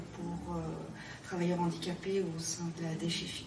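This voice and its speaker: A woman's voice carries audible room echo. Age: 60s. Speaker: public finance contract employee. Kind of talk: interview testimony.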